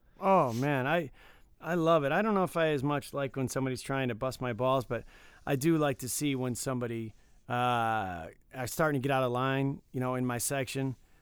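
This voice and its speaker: An unremarkable speaking voice from a man with an American accent, medium pitch and ordinary pitch variation. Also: fairly quick pace. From Michigan, suburban Detroit. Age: 40s. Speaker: podcast co-host. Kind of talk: casual chat.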